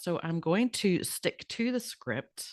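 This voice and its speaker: The woman's voice comes through dry and close with no echo, over a quiet background. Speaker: podcast host and naturopath. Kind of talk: podcast monologue from a script. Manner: hesitant, many fillers.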